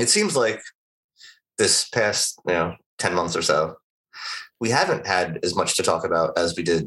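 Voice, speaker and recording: A man speaks fairly slowly with an American accent. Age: 40s. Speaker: podcast co-host. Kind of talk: casual chat.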